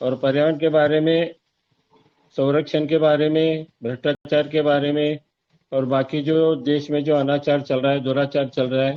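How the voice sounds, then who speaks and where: Fairly high in pitch, a man speaks with monotone, flat intonation and very even loudness. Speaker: social worker. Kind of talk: speech in webinar.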